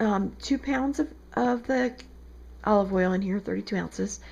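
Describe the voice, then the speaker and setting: In an American accent, the speaker talks at a fairly quick pace with lively intonation over noticeable background noise. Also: woman. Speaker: soap maker. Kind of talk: tutorial. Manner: casual, conversational.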